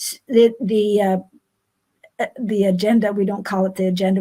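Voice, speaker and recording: With a dark, mellow tone and medium pitch, a woman speaks somewhat breathily at a moderate pace, her intonation fairly even. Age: 80s+. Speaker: recreational cyclist. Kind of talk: interview. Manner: halting.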